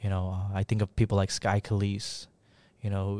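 A man with a fairly low pitch and a dark, mellow tone speaks in a monotone, flat manner. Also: moderate pace.

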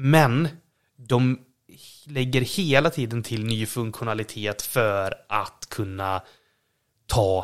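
This man talks at a very slow pace, with long, frequent pauses and a medium pitch. His pitch varies in an ordinary way, and the recording is very clean with a silent background. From western Sweden, Borås. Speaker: podcast co-host. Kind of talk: casual chat. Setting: at home.

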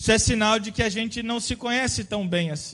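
A man's high-pitched voice with ordinary pitch variation, set against a quiet background. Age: 30s. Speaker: pastor. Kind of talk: sermon.

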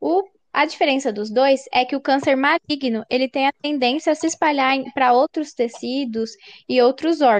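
At a moderate pace, the voice shows ordinary pitch variation, with dry, close sound and no echo. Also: woman. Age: 20s. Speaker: science teacher. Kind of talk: interview.

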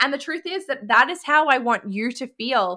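Heard in a very clean recording with a silent background, a woman with an Australian accent talks at a moderate pace in a bright, sharp tone. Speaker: podcast host and business coach. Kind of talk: casual monologue.

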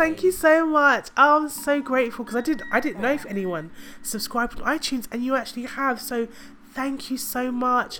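A woman speaks in a raised, projected voice at a high pitch and a moderate pace. Her tone is bright and sharp, with ordinary pitch variation. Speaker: podcast host. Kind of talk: casual monologue.

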